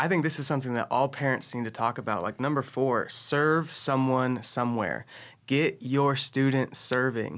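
A man's medium-pitched, plain, everyday voice with an American accent and fairly even intonation, on a very clean recording with a silent background. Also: moderate pace. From Texas, Austin. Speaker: student pastor. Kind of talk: casual chat.

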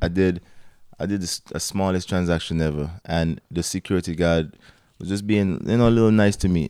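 A very deep, low-pitched man's voice, dark and mellow, with fairly even intonation, a fairly quick pace, and a very clean recording over a silent background. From Antigua. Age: 30s. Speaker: gym owner. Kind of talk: casual interview chat. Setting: studio.

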